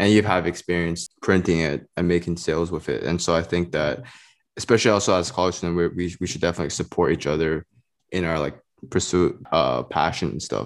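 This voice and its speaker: With vocal fry and a very deep, low pitch, a man speaks at a fairly quick pace with ordinary pitch variation over a quiet background. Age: 20s. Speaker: podcast host and college student. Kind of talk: casual interview.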